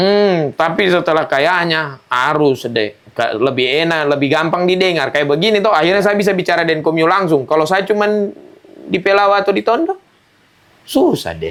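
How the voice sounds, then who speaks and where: Speaking at a moderate pace, a man with a high pitch uses lively intonation and very even loudness. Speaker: stand-up comedian. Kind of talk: interview. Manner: animated.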